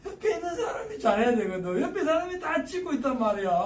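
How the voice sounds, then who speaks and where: With an animated tone, a man's voice swings very widely in pitch while audible room echo surrounds him. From Gyeongsang Province, South Korea. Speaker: retiree turned railway signal technician. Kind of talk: casual talk giving career advice. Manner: colloquial, animated.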